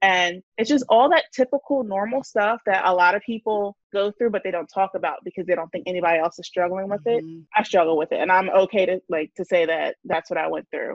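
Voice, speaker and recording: In a normal speaking voice with an American accent, a woman talks at a medium pitch and a fairly quick pace with ordinary pitch variation and hardly any pauses. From New Jersey. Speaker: personal finance content creator. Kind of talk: casual chat.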